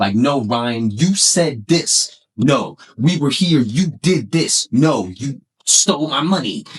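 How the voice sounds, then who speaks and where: Very slowly and somewhat breathily, a man speaks at a fairly high pitch with lively intonation. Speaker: podcast host. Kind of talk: casual chat. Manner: animated.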